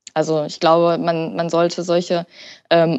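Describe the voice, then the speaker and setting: Fairly slow speech from a woman, pitched fairly low. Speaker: hypnotherapist. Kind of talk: interview.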